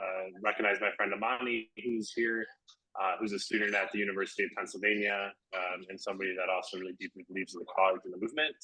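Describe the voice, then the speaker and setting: A man speaks loudly at a fairly quick pace. His fairly low voice has a bright, sharp tone. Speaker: peacebuilder. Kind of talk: presentation. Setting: video call from a cafe. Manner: projects loudly.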